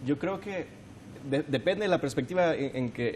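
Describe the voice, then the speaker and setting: This man has a plain, everyday voice, pitched fairly high. His intonation is lively and his pace moderate. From El Salvador, San Salvador. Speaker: young political candidate. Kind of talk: televised political debate.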